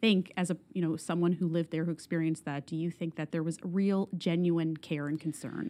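A woman talks at a very fast pace in a dark, mellow tone. Her intonation stays fairly even. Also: fairly low pitch for a woman. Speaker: podcast host. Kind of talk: interview, scripted intro.

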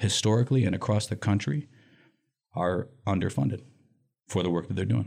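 A man with a fairly low voice and vocal fry talks at a fairly quick pace with lively intonation. He leaves long, frequent pauses. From US Midwest, Lansing, Michigan. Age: 40s. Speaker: nonprofit director. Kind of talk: interview.

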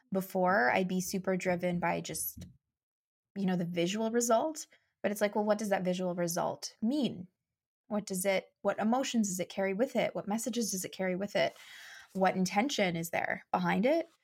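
A woman with a Canadian accent speaks at a moderate pace, somewhat breathy, in a medium pitch with ordinary variation. The recording is very clean and the background silent. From Canada, Saskatchewan (Saskatoon). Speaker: mindset coach and marketing strategist. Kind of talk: casual interview.

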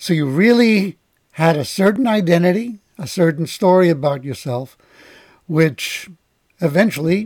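Speaking at a fairly slow pace, a man with a plain, everyday voice uses lively intonation at a fairly high pitch. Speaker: podcast host. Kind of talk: interview.

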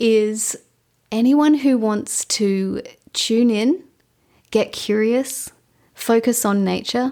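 A woman with an Australian accent and a fairly high pitch, a dark, mellow tone, very slow pace, long, frequent pauses and very even loudness, in a very clean recording with a silent background. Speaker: ecologist and podcast host. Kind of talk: interview.

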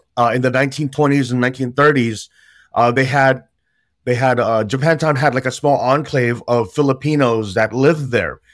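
With an American accent and an ordinary speaking voice, a man at medium pitch talks at a moderate pace with fairly even intonation and very even loudness. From San Jose, California. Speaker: youth nonprofit director. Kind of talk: casual chat.

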